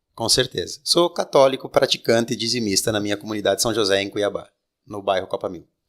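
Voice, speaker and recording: Very fast speech from a man at a medium pitch, ordinary pitch variation and big swings in loudness. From Rio Grande do Sul, Brazil. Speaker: political candidate and lawyer. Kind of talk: interview. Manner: halting.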